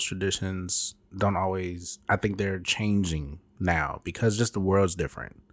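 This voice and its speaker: With an American accent and a normal speaking voice, a man with a fairly low pitch talks at a fairly slow pace and fairly even intonation in a very clean recording with a silent background. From Chicago. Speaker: podcast co-host. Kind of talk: casual chat. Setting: rented apartment at night.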